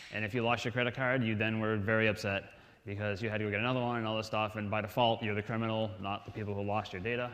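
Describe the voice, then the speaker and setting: In an American accent, a man at medium pitch talks very fast in a monotone, flat delivery, with audible room echo. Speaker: conference speaker. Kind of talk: lecture. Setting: stage with audience.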